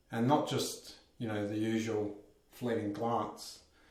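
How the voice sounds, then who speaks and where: Noticeable background noise and audible room echo surround the voice. A man speaks at a medium pitch with monotone, flat intonation. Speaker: vlogger. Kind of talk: personal vlog monologue. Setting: bathroom at home. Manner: shaky voice.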